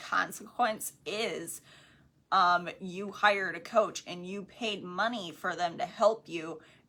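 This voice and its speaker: Bright, sharp tone from a woman of medium pitch, with a slight country accent. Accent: slight country twang. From Wisconsin, US Midwest. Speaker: podcast co-host, network marketing coach. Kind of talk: casual book discussion. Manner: casual, filler-heavy.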